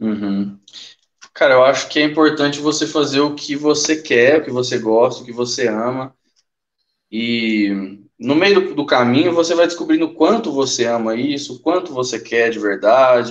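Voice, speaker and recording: A man with a plain, everyday voice speaks at medium pitch and a moderate pace, with ordinary pitch variation. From Brazil, Uberlândia, Minas Gerais. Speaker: comic book artist. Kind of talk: casual interview chat.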